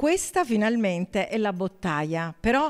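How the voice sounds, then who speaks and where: A woman speaks against a quiet background. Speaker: food and wine show host. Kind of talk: casual talk to camera. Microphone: handheld.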